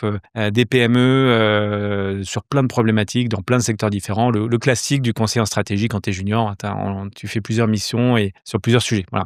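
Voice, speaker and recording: A man's fairly low, monotone voice with flat intonation at a moderate pace, in a dry, close sound with no echo. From southeastern France (Côte d'Azur, near Nice). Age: 40s. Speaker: entrepreneur. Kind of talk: interview. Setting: studio. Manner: hesitant, many fillers.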